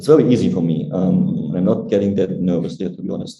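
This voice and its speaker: Very wide pitch swings run through a man's dark, mellow voice as he talks at a fairly quick pace amid audible room echo. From Germany. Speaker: Android engineer. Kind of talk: interview. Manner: fast.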